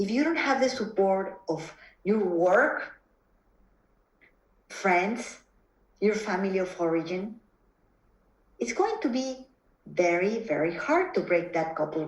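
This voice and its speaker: With a Mexican accent, a woman speaks in a medium-pitched voice at a very slow pace, with long, frequent pauses. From Mexico. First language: Spanish. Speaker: psychotherapist. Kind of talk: interview conversation. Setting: video call. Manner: halting, frequent repetitions.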